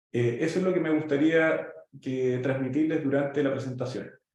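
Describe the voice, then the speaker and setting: Audible room echo hangs around a man's voice. He keeps a moderate pace with ordinary pitch variation. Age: 40s. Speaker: pharmaceutical company executive and startup mentor. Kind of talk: presentation with slides. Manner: halting, many fillers.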